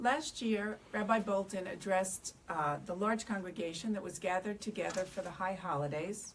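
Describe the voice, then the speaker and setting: Somewhat breathy, a woman speaks fairly quickly at a medium pitch with ordinary pitch variation. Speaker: bereaved parent speaking on addiction. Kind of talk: panel talk. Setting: synagogue event with audience. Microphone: speaking without microphone.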